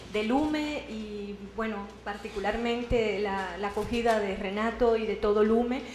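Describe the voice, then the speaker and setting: A woman with a fairly high pitch speaks with fairly even intonation. Noticeable background noise and audible room echo surround her voice. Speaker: researcher and university lecturer. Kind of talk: lecture. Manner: slow, deliberate.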